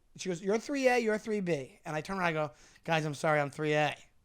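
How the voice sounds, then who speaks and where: Animated in tone, a man lets his pitch swing very widely. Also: very clean recording, silent background. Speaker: comedian and podcast co-host. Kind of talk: casual chat. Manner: fast.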